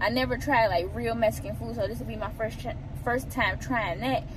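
A woman talks at a very fast pace. Noticeable background noise is present, and the sound is dry with no echo. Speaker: vlogger. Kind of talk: casual vlog chat. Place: car. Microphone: phone near.

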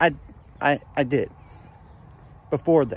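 The sound is dry with no echo as a man speaks at a fairly slow pace. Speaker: sports fan vlogger. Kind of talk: casual vlog chat. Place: garden. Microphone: phone near.

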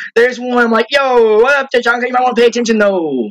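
A man speaks at a very fast pace. His pitch is high, with ordinary pitch variation. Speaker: gaming YouTuber. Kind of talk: live gameplay commentary. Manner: animated. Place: home room. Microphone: headset.

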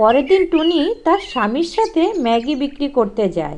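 Her high-pitched voice has a slightly mellow tone and big pitch swings as the woman speaks at a fairly quick pace.

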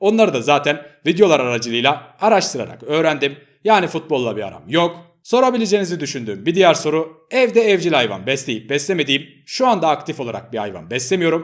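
At a very fast pace, a man's voice carries very wide pitch swings and vocal fry. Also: fairly high pitch for a man. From Turkey, Ankara. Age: 20s. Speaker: gaming YouTuber. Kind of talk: face-reveal vlog talking to viewers.

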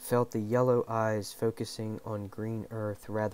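A reading voice, unforced

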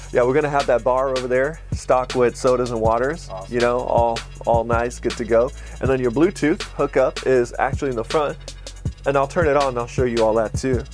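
A man with fairly even intonation against clear music in the background. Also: fairly quick pace. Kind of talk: casual walkthrough sales talk. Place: bus.

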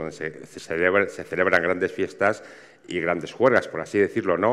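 A man speaks in a fairly low pitch. His tone is bright and sharp. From Castile and León, rural Spain. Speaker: village wine cellar conservation promoter. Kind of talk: conference panel talk.

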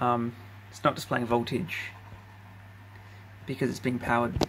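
A man talks over noticeable background noise. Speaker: electronics hobbyist. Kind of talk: casual hardware demo to camera. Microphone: phone near.

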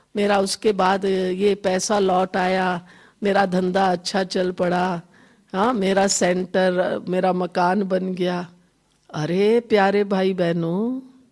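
Heard in a very clean recording with a silent background, a woman with a normal speaking voice keeps a medium pitch and very even loudness. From Himachal Pradesh, India. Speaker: spiritual teacher. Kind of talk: spiritual talk. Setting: hall with live audience. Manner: conversational, addresses audience directly.

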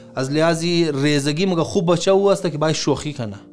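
A man talks at a moderate pace while faint music plays behind him. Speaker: speaker. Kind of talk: sermon-style advice talk. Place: home room.

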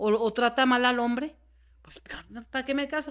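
The backdrop stays quiet. Her intonation, that of a woman, is fairly even. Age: 40s. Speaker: podcast guest. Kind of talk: interview conversation. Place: home room. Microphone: studio mic.

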